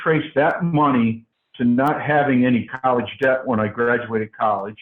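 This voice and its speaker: A man's voice sits at medium pitch, moving at a moderate pace with ordinary pitch variation. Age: 60s. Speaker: franchise owner. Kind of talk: interview. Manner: halting, many fillers and repeats.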